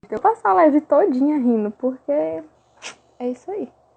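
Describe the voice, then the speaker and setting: A woman's high voice with a Brazilian accent at a moderate pace. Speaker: fan page manager. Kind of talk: livestream chat. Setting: live stream.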